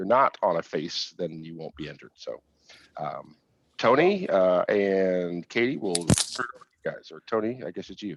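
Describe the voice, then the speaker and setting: A man's voice with big swings in loudness, the sound dry and close with no echo. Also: moderate pace. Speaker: conference host. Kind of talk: virtual conference announcements.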